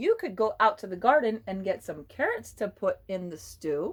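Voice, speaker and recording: Putting on a character voice, a woman speaks at a moderate pace with a medium pitch. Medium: read story. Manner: innocent-sounding, sly.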